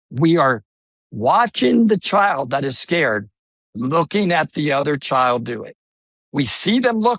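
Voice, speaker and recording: An animated man's voice with lively intonation, recorded dry and close with no echo against a quiet background. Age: 60s. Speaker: swim school CEO and swim educator. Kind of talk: podcast interview.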